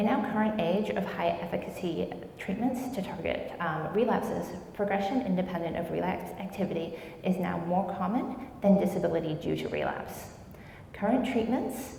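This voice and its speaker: There is noticeable background noise and audible room echo. A woman speaks at a medium pitch with ordinary pitch variation. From New Zealand, Wellington. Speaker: MS researcher. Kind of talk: lecture. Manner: fast.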